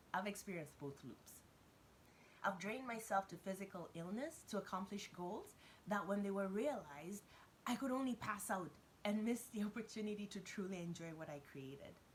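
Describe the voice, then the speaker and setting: At a fairly quick pace, a woman speaks in a medium, somewhat breathy voice with lively intonation. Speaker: business coach for entrepreneurs. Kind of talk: motivational talk to camera. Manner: fast.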